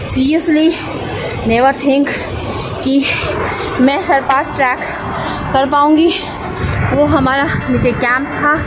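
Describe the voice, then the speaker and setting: A woman speaks at a very slow pace with long, frequent pauses over noticeable background noise. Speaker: trekker vlogger. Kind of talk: casual vlog chat. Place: forest. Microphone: phone near.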